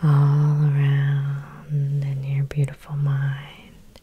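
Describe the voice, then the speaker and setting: Soft-spoken, a woman talks in a gentle tone at a very deep, low pitch. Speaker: hypnotherapist. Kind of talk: soothing guided hypnosis meditation with repetitive induction. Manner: soft-spoken, gentle and slow; hypnotically repetitive, drawn-out phrasing. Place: home room.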